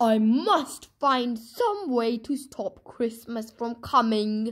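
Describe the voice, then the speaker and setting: A woman's put-on, growling character voice, fairly high in pitch, at a very slow pace. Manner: growling, scheming.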